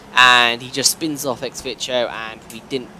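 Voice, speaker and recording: A man with a medium pitch talks while noticeable noise sits in the background. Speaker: sim racing video creator. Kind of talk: gameplay commentary. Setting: hotel room. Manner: halting. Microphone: poor quality.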